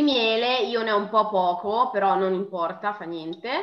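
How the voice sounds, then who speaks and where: Noticeable background noise is present. A woman does the talking. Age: 20s. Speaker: beauty enthusiast. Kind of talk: tutorial.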